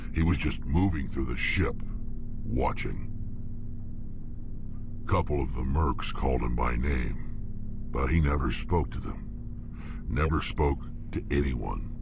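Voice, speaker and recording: Against loud background noise, a man does a put-on character voice at a fairly slow pace. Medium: machinima. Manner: blunt, terse.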